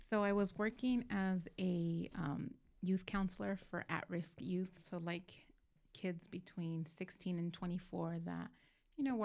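In an ordinary speaking voice, a woman with an American accent talks at a fairly slow pace, her pitch fairly low. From Southern California. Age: 40s. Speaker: church small group leader. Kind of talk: casual chat.

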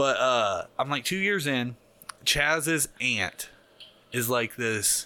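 A man with a Midwestern US accent talks at a very slow pace in a bright, sharp tone at medium pitch. His pitch variation is ordinary and his loudness very even. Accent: US Midwest. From Ohio, Hamilton. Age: 30s. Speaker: tattoo artist. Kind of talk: casual chat. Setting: studio. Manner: animated.

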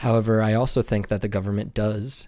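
On a very clean recording with a silent background, a man speaks in a fairly low voice with an American accent. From US Midwest. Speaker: political candidate. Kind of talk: solo monologue podcast.

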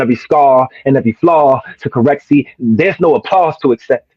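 With music in the background, a man with an American accent talks at a moderate pace and medium pitch, using ordinary pitch variation. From New Jersey. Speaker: spoken word poet. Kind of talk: casual chat.

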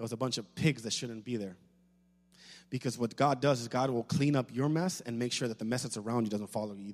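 A man talks very fast at a medium pitch, with ordinary pitch variation. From Puerto Rico. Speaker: pastor. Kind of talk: sermon.

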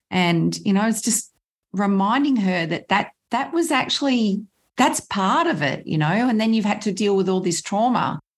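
Somewhat breathy, a woman speaks at a medium pitch and moderate pace, with lively intonation and very even loudness. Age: 60s. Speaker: healer. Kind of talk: casual chat.

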